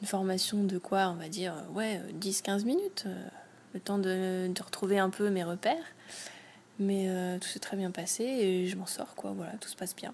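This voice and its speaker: A woman with an ordinary speaking voice speaks at a medium pitch and moderate pace. Her intonation is fairly even, while her loudness swings widely. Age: 20s. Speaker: host's partner, non-tech user. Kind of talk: casual interview chat.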